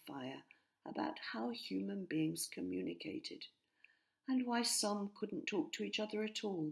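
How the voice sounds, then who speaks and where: A woman's medium-pitched voice with vocal fry, very wide pitch swings, and a fairly slow pace. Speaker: author and narrator. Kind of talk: children's story reading.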